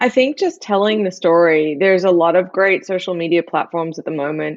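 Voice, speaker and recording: A woman speaks with lively intonation at a fairly quick pace. Her pitch sits fairly low for a woman, with an Australian accent. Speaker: chef and barbecue expert. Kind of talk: interview.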